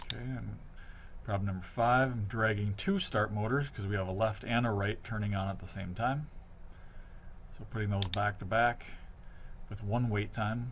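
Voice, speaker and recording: A man with a fairly low pitch and ordinary pitch variation sounds somewhat breathy, leaving long, frequent pauses. His voice carries audible room echo. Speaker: teacher. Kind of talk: tutorial. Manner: fast.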